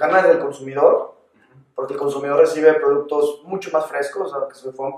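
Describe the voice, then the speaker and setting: This is a man's voice. His delivery is fairly quick. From Mexico, León (Guanajuato). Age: 20s. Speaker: agtech entrepreneur. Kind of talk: interview.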